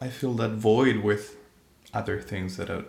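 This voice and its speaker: Fairly low, somewhat breathy male voice with fairly even intonation and audible room echo. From Spain. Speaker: singer-songwriter. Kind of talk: casual chat.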